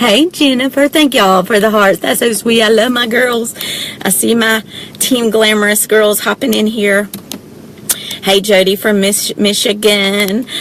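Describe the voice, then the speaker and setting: A woman with a Southern US accent talks at a fairly slow pace in an animated tone. Noticeable background noise can be heard. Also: fairly high pitch for a woman, very even loudness. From US South, south Georgia. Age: 40s. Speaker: direct sales presenter. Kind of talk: live video chat. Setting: parked car.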